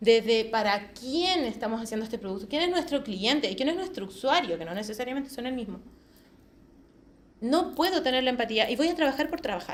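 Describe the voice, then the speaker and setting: A woman with a high-pitched voice speaks in an animated tone. Her intonation is lively, and audible room echo surrounds her. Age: 40s. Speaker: quality assurance specialist. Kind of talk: conference talk. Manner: fast.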